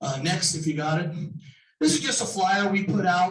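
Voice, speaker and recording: Heard with audible room echo, a man speaks at a moderate pace in a high pitch. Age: 60s. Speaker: home inspector and building contractor. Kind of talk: sponsor presentation at a business meeting. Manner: casual with many fillers.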